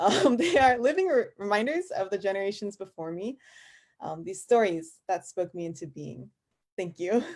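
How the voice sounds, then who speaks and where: In an American accent, a woman of medium pitch talks at a moderate pace with very wide pitch swings and big swings in loudness. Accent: Korean American. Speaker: fellowship graduate. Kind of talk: personal speech.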